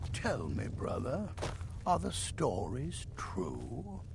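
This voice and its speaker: A man's put-on character voice, very deep and low in pitch, very slow in pace, over loud background noise. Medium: video game. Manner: dry, grumbling.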